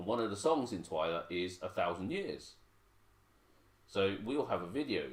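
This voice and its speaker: With an English accent, a man speaks at a moderate pace and fairly low pitch, using lively intonation and long, frequent pauses. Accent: very English, Queen's English. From Hong Kong. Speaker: parent co-host. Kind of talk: casual livestream chat.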